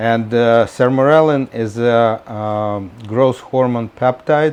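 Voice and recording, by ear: Slow in pace, a man's medium-pitched voice has a clear, smooth, slightly mellow tone and ordinary pitch variation.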